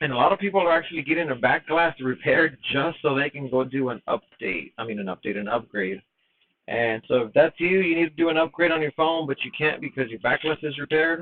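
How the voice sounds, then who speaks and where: A man at a very fast pace, fairly high in pitch, with lively intonation. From Mexican heritage. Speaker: phone repair technician. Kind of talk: live repair tutorial. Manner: casual, chatty. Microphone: mic problems noted.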